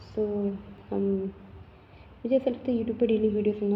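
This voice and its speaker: Against noticeable background noise, a soft-spoken woman talks with fairly even intonation. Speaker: vlogger. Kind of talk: casual vlog monologue. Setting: at home.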